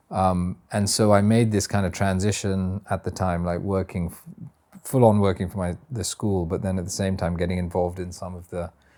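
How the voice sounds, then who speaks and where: With a very deep, low pitch and a dark, mellow tone, a man speaks at a moderate pace in a monotone, flat intonation. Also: big swings in loudness. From India, missionary kid (born UK). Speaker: teacher and educator, missionary kid. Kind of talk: interview. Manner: halting, many fillers and repeats.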